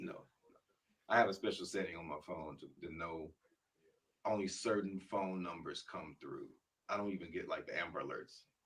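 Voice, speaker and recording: A man speaks at a moderate pace. He takes long, frequent pauses. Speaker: spoken word artist. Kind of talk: interview answer.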